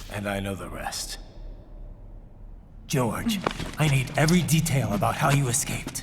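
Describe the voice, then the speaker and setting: Using a put-on character voice at a fairly high pitch, a man leaves long, frequent pauses over clear background noise. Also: moderate pace. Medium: short film.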